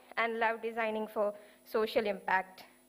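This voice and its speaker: Noticeable background noise behind a woman's high voice at a moderate pace. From India, Kerala. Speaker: designer presenting research. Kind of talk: conference presentation. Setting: stage with audience.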